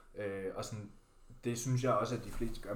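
There is audible room echo as a man speaks at a medium pitch with ordinary pitch variation. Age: 20s. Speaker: bodybuilder and fitness podcast co-host. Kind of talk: casual chat.

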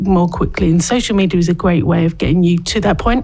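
A woman with a normal speaking voice talks at a moderate pace, her fairly low pitch held in fairly even intonation. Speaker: social media expert. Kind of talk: interview. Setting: studio.

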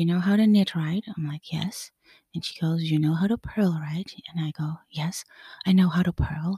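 In a dry, close recording with no echo, a woman speaks at a moderate pace with a fairly low pitch, a dark, mellow tone and a somewhat breathy quality. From Netherlands. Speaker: podcast host, knitwear designer. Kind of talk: solo podcast monologue. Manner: animated.

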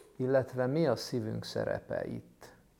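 At a fairly slow pace, this man delivers his words. His tone is dark and mellow. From Hungary, Budapest. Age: 40s. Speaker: mental health professional and summit host. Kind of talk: interview.

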